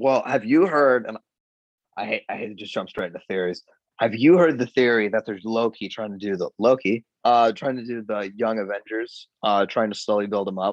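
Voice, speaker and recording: Against a quiet background, a man speaks with an American accent. He has an unremarkable speaking voice at a medium pitch. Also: ordinary pitch variation. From Florida. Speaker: podcast guest. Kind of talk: casual chat. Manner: fast, filler-heavy.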